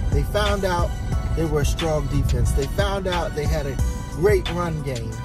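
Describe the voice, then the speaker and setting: A man speaks at a fairly slow pace. The sound is dry with no echo, and loud music plays behind him. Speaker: youth football vlogger. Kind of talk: casual vlog chat. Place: car. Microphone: phone near.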